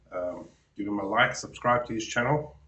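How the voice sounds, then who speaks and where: A man speaks at a fairly slow pace with a medium pitch and ordinary pitch variation. Audible room echo surrounds his voice. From South Africa. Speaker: reaction youtuber. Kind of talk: reaction commentary. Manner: halting.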